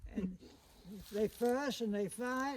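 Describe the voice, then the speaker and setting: Speaking in an American accent at an extremely high pitch, a man talks at a fairly slow pace with lively intonation, recorded with a dry, close sound and no echo. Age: 90s. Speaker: elderly cabin owner. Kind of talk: casual chat.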